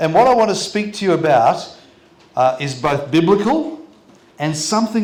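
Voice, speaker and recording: An Australian accent at a moderate pace with lively intonation, amid audible room echo and noticeable background noise. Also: man. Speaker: pastor. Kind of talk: sermon. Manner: short phrases paused for interpreter.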